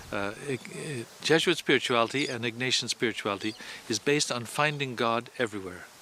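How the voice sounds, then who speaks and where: A man speaks at a moderate pace in a medium pitch, with ordinary pitch variation. Noticeable background noise runs under his voice. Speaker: Jesuit priest. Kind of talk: interview. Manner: halting, repeats words.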